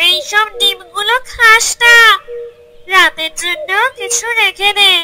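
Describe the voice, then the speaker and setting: A cartoonish character voice, female-sounding, at an extremely high pitch and a fairly slow pace. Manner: nervous, greedy.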